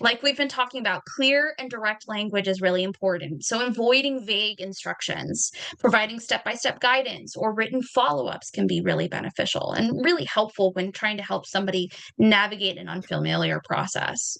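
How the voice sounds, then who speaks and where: Amid noticeable background noise, a woman talks fairly quickly and with hardly any pauses, using a fairly high pitch and lively intonation. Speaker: presenter on neurodiversity. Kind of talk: presentation with slides. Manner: fast.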